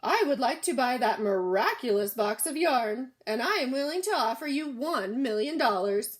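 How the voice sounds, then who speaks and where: Putting on a character voice, a woman speaks high-pitched at a moderate pace with hardly any pauses and very wide pitch swings. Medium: read story. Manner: pompous, imperious.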